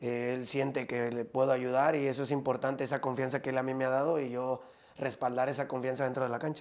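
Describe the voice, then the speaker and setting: A man's medium-pitched voice, fairly quick, with monotone, flat intonation. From Mexico, Guadalajara (Zapopan). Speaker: professional indoor soccer player. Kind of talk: interview.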